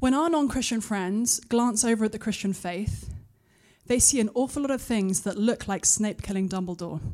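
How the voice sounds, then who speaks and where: Here a woman with an English accent has a dark, mellow tone and a fairly high pitch with ordinary variation. The recording is very clean, with a silent background. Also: moderate pace. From UK. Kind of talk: conference talk; audience Q&A. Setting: stage with audience.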